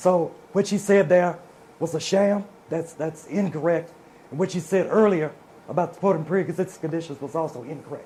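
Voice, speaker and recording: With a Mississippi accent, a man speaks at a fairly quick pace in a high pitch, his intonation fairly even. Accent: Southern US (Mississippi). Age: 60s. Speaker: politician. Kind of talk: political debate.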